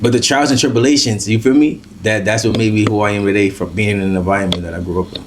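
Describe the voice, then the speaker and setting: The speech runs at a very fast pace with hardly any pauses and ordinary pitch variation, with audible room echo and noticeable background noise. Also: man, fairly low pitch for a man. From Brooklyn, New York. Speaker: drill rapper. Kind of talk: interview. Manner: casual, hesitant with many fillers.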